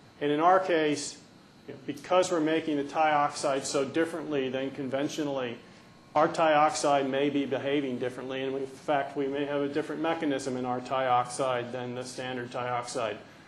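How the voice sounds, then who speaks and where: A fairly high-pitched man with fairly even intonation, in audible room echo. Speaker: research scientist. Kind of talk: conference talk. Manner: fast.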